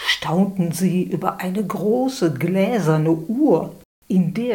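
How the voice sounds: Ordinary pitch variation in a natural reading voice, with a quiet background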